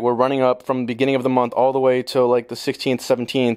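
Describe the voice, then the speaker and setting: A man talks at a medium pitch. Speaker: stock market video creator. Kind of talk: technical analysis tutorial. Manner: casual, profane; fast.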